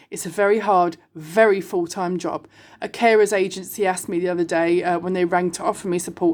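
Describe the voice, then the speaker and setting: Speaking in an animated tone with a British accent, a woman is heard in a very clean recording with a silent background. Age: 40s. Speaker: online video host, single mother. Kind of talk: casual monologue.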